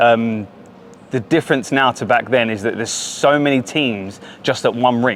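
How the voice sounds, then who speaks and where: A man speaks with an Essex accent. His intonation stays fairly even. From Essex, England. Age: 30s. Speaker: adult recreational hockey player. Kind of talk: casual interview. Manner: hesitant, many fillers.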